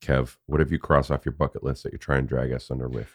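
A man speaks with a creaky vocal fry. The sound is dry and close, with no echo. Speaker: podcast moderator.

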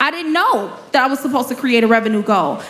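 Over noticeable background noise, a woman with an American accent talks at a moderate pace in a high pitch with ordinary pitch variation. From Chicago, South Side. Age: 30s. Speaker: nonprofit founder and business mentor. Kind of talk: live interview before audience. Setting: stage with live audience.

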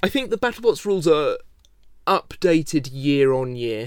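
In an English accent, a man speaks at a moderate pace with a fairly high pitch. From England. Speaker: robot combat show host and builder. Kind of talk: interview.

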